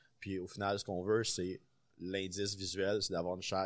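Very clean, silent-background recording of a man with a very deep, low voice. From Quebec City, Quebec. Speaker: chef. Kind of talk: casual chat.

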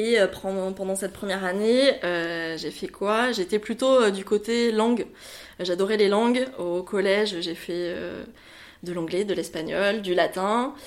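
The woman's pace is very slow. Her pitch is medium, with ordinary pitch variation. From France, Bordeaux area. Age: 30s. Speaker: wedding planner. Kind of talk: interview. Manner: hesitant, many fillers.

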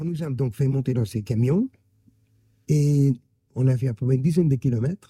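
Somewhat breathy, a man speaks at a medium pitch with a dark, mellow tone. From Germany, Karlsruhe. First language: German (speaking French). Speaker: Holocaust survivor. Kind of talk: testimony. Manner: halting.

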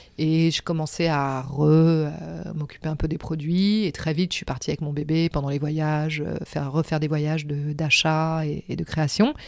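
A woman's very deep, low voice with fairly even intonation, in a very clean recording with a silent background. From Senegal (Gorée island, Dakar), then Paris from age 7. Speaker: artistic director of a crafts company. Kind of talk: interview, life story. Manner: hesitant, many fillers.

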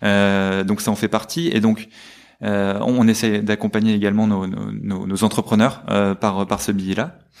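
A man with a normal speaking voice talks at a fairly slow pace, his fairly low pitch carrying fairly even intonation on a very clean recording with a silent background. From northern France. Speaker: fundraising manager at a business school. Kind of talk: interview.

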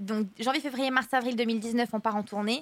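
A woman at a fairly high pitch talks at a moderate pace with fairly even intonation. Her ordinary speaking voice comes through with a dry, close sound with no echo. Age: 20s. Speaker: dancer and TV personality. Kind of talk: casual interview. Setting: restaurant cellar, recorded for livestream.

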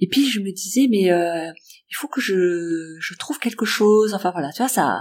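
A woman talks at a fairly slow pace with lively intonation and a medium pitch. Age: 50s. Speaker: workplace wellbeing coach. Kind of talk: interview.

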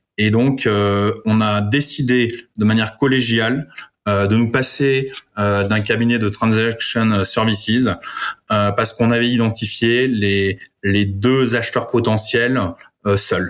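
At a very slow pace, a man speaks with a medium pitch and monotone, flat intonation. His loudness stays very even. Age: 40s. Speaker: family office manager. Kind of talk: interview. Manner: halting.

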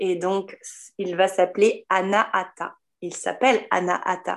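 On a very clean recording with a silent background, a woman speaks very slowly. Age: 30s. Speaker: holistic therapist. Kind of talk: casual interview.

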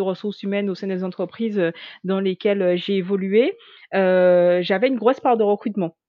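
A woman's medium-pitched voice keeps a fairly even intonation. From Guadeloupe. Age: 30s. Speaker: HR manager and LinkedIn coach. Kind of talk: interview. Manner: hesitant, many fillers.

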